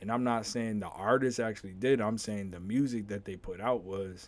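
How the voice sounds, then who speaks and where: With an unremarkable speaking voice, this man keeps a moderate pace and fairly even intonation. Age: 30s. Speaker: podcast host. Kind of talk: casual monologue.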